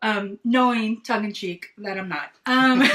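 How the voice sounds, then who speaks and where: Her pitch shifts in an ordinary way. The woman's voice sits fairly high. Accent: slight Southern US. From East Texas. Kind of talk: casual chat. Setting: video livestream. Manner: loud.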